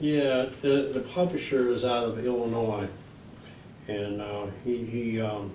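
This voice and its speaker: Medium-pitched man's voice with ordinary pitch variation, audible room echo and noticeable background noise. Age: 60s. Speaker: folk singer-songwriter and children's author. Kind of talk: casual interview. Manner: halting, many fillers.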